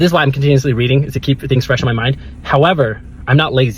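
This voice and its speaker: Music plays in the background. A man talks at a fairly high pitch. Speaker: self-improvement vlogger. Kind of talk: casual vlog monologue. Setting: in a car. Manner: loud; rambling with many restarts.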